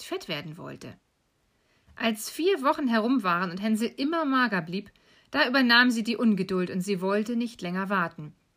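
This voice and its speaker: On a very clean recording with a silent background, a woman with an ordinary speaking voice talks at a moderate pace with lively intonation. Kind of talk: bedtime story telling.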